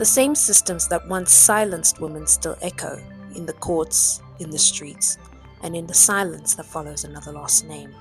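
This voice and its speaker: A woman speaks at a moderate pace with big swings in loudness. There is music in the background. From South Africa. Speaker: YouTuber. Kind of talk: personal video essay narration.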